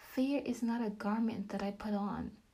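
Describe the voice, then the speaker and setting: A woman's fairly high voice at a fairly slow pace, with fairly even intonation and noticeable background noise. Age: 30s. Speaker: podcast host and faith teacher. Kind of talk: devotional talk.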